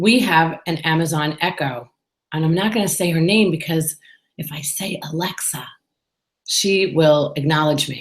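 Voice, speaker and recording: Speaking at a fairly slow pace, a woman with a New York accent has a fairly low pitch. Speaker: business owner and podcaster. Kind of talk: solo vlog monologue. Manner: casual and chatty.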